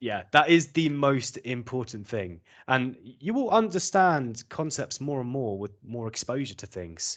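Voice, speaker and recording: A man with a southern British accent, hardly any pauses and big swings in loudness, against a quiet background. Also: medium pitch for a man, lively intonation, fairly slow pace. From southern England. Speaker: English teacher. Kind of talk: interview.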